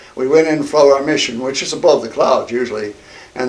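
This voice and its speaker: At a moderate pace and with fairly even intonation, a man speaks over noticeable background noise. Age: 80s+. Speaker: war veteran. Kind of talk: interview. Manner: halting.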